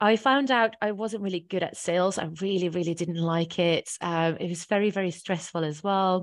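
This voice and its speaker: With hardly any pauses, a woman speaks at a moderate pace and medium pitch, her pitch varying in an ordinary way. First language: not English. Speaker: office manager. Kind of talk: casual interview.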